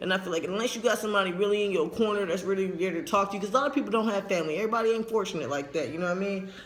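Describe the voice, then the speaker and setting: Amid noticeable background noise and audible room echo, a man speaks very fast at a high pitch with ordinary pitch variation. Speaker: transgender vlogger. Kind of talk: casual vlog update. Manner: casual, rambling.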